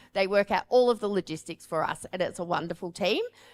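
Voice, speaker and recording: Speaking with an Australian accent, a woman talks at a fairly quick pace with lively intonation and a medium pitch, the sound dry and close with no echo. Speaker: paramedic and firefighter medical trainer. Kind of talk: conference presentation.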